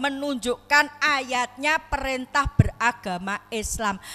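A woman's raised, projected voice, high in pitch, with lively intonation at a very slow pace. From Lombok, Indonesia (born in Solo); Lombok, Indonesia. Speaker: Islamic preacher. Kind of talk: sermon. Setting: mosque gathering. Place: hall. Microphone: handheld.

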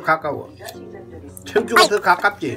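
A man with a high voice speaks loudly and projects, using ordinary pitch variation, while noticeable background noise comes through. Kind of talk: casual family talk. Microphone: phone near.

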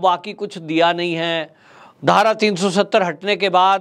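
A man's high-pitched voice at a fairly slow pace against a quiet background. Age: 40s. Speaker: political commentator. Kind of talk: political commentary monologue. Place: studio. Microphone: lapel.

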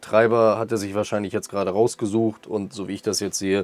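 A man with a fairly deep voice speaks very fast. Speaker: tech YouTuber. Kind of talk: product review. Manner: casual, many filler sounds.

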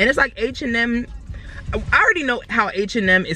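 Lively intonation marks a woman's voice, recorded with a dry sound and no echo. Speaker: vlogger. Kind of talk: casual vlog chat. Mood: frustrated venting about jeans. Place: car. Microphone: phone near.

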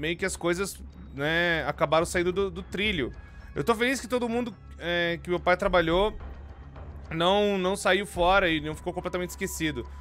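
Faint music plays behind a man speaking at a moderate pace. He leaves long, frequent pauses. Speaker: streamer. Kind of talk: casual stream commentary. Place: home room. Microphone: studio mic.

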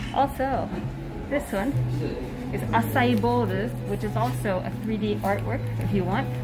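A woman talks while music plays behind her. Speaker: cafe visitor vlogger. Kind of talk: casual vlog chat. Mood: excited, delighted. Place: cafe. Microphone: phone near.

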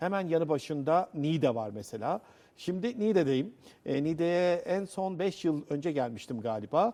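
On a very clean recording with a silent background, a man speaks at a moderate pace with a fairly high pitch, a dark, mellow tone, and lively intonation. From Central Anatolia, Cappadocia. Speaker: TV presenter. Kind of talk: TV interview. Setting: on location in a rock-cut church.

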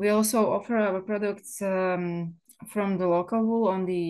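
A woman with a Slovak accent at a fairly slow pace, fairly even intonation, and a quiet background. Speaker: wool mill owner. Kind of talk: seminar presentation. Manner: halting, many fillers.

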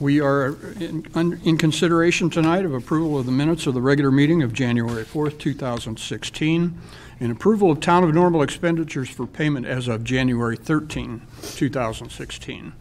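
Moving at a fairly quick pace, a man speaks in a slightly mellow tone with ordinary pitch variation. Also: fairly high pitch for a man.

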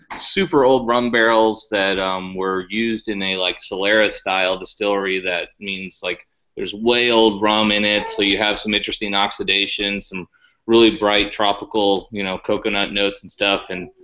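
A man with fairly even intonation and a fairly low pitch, at a moderate pace against a quiet background. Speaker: remote guest. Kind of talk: interview answer. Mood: relaxed, thoughtful. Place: home room. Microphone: video call.

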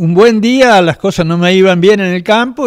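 Quiet surroundings and a man talking at a fairly slow pace. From Argentina, Córdoba province. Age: 70s. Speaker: baker. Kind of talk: interview; interview answer. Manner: halting. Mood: warm, reminiscing. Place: workshop. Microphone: handheld.

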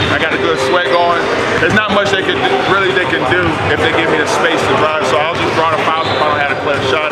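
Loud noise fills the background. Through it, a man talks. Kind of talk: interview answer. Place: hall. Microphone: camera far.

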